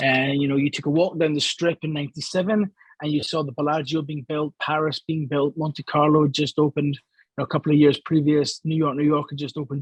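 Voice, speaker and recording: Fairly quick and with hardly any pauses, a man with a Scottish accent and fairly high pitch speaks in a somewhat breathy voice with fairly even intonation, the sound dry and close with no echo. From Scotland, Glasgow. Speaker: gambling industry analyst and columnist. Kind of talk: interview.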